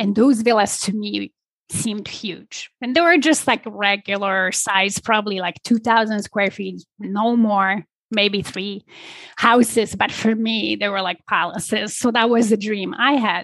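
Recorded dry and close with no echo against a quiet background, a woman at a medium pitch speaks at a fairly slow pace with ordinary pitch variation. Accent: Polish. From Poland. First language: Polish. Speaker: business and leadership coach. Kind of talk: interview conversation.

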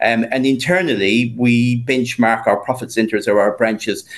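A man with a plain, everyday voice, medium pitch, ordinary pitch variation and a fairly slow pace. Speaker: HR executive at a bank. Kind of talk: interview.

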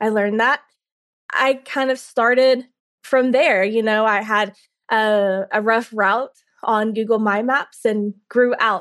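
In a Southern US accent, a woman speaks very slowly at a fairly high pitch, with fairly even intonation, very even loudness and a quiet background. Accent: Southern US (Georgia). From US South, Carrollton, Georgia. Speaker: tour business owner. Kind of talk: interview.

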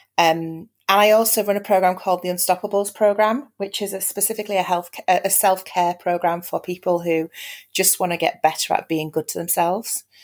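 Talking at a fairly quick pace with a Yorkshire accent, a woman has a medium pitch and ordinary pitch variation. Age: 40s. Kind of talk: casual chat.

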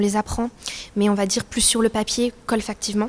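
Against noticeable background noise, a woman talks at a fairly quick pace with monotone, flat intonation. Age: 20s. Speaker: student. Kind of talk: interview testimony. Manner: halting.

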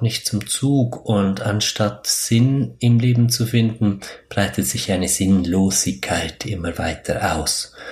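A somewhat breathy man at a very slow pace. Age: 30s. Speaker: spiritual podcast host. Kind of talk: solo podcast monologue. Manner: hesitant, many fillers.

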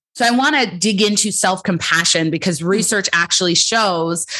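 Lively intonation from a woman at a medium pitch, moving at a moderate pace. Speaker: clinical psychologist and coach. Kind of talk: interview answers, conversational. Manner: outspoken, powerful voice.

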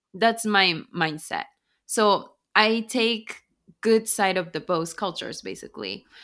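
In a very clean recording with a silent background, a woman speaks fairly slowly in a bright, sharp tone with ordinary pitch variation. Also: medium pitch for a woman. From Japan. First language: Japanese. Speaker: author and business consultant. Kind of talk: interview.

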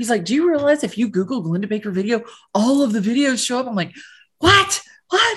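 Against a quiet background, a woman's voice makes very wide pitch swings. It sounds somewhat breathy. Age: 50s. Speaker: real estate agent. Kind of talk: interview.

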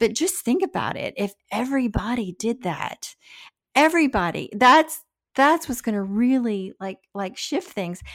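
In a very clean recording with a silent background, a woman's high voice swings very widely in pitch at a fairly slow pace. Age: 60s. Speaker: podcast co-host, brand founder. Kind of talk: casual interview conversation.

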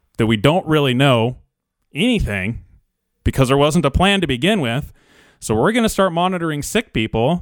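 On a very clean recording with a silent background, a man speaks in a normal speaking voice at a fairly quick pace with lively intonation. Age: 30s. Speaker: small business owner. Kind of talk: public video message.

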